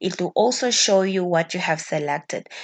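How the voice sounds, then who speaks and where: A woman's medium-pitched, unremarkable speaking voice at a moderate pace, with a quiet background. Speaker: spreadsheet tutorial teacher. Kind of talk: tutorial.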